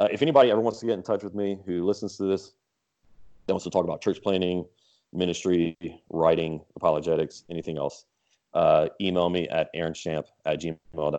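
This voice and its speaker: This man has a very deep, low pitch and a dark, mellow tone, with ordinary pitch variation. He talks at a fairly quick pace with long, frequent pauses over a quiet background. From southern Louisiana (Lafayette area). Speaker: church planter and pastor. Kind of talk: interview.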